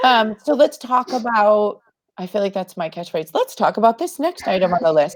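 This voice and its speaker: In a plain, everyday voice, a woman speaks at a moderate pace with lively intonation. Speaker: marketing host. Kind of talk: casual chat. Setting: live video call.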